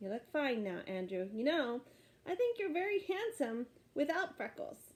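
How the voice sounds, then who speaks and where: A woman speaks at a moderate pace in a put-on character voice, high-pitched and swinging very widely in pitch. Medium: read story.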